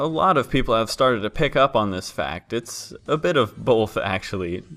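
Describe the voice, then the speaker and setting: Medium-pitched man with an unremarkable speaking voice, lively intonation and a moderate pace. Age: 20s. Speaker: story narrator youtuber. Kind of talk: Q&A video monologue.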